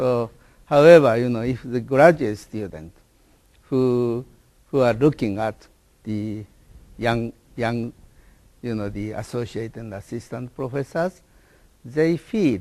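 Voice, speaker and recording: A man's dark, mellow voice with a Japanese accent, medium pitch, fairly slow pace and ordinary pitch variation. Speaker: professor. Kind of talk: interview. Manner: halting.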